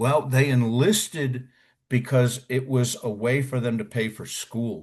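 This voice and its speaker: Over a quiet background, a man with an American accent talks at a fairly slow pace in a somewhat breathy voice. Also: medium pitch for a man, ordinary pitch variation. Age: 60s. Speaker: war veteran. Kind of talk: interview. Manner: animated.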